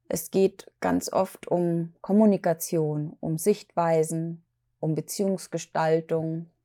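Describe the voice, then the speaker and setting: At a very slow pace, a woman with a fairly low pitch and a dark, mellow tone speaks in a dry, close sound with no echo on a very clean recording with a silent background. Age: 40s. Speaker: podcast host, mental health speaker. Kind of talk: solo podcast monologue. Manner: hesitant, many fillers.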